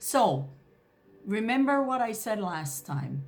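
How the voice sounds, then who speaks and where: Audible room echo surrounds a woman whose somewhat breathy voice makes very wide pitch swings. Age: 70s. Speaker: naturopathic doctor and reflexologist. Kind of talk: health tips talk to camera. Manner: hesitant, frequent fillers.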